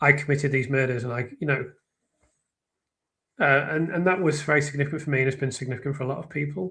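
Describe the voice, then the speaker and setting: A man with a slight northern English accent, bright and sharp in tone, fairly high pitch, fairly even intonation, very fast pace, and long, frequent pauses. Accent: slight, flattened northern English. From northern England. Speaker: true crime commentator and writer. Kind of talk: live stream discussion. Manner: halting, many fillers and restarts; clear, careful speech.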